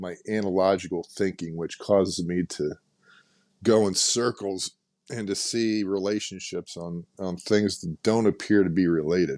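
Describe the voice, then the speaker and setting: This man's pitch is very deep and low, and his pace is moderate. The recording is very clean with a silent background, and the sound is dry and close with no echo. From US, German-American family. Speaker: podcast host on philosophy. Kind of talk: casual podcast monologue. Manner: halting, many fillers.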